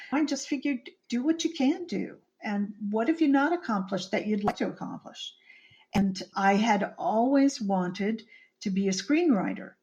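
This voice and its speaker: Somewhat breathy and fairly high-pitched, a woman speaks with very wide pitch swings. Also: moderate pace. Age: 60s. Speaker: screenwriter and author. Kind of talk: interview. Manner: halting.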